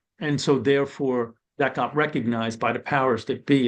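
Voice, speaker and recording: With an American accent, a man talks at a moderate pace and medium pitch in an ordinary speaking voice, with ordinary pitch variation against a quiet background. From New York City (Brooklyn). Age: 60s. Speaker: former corrections and probation official. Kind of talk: webinar panel discussion.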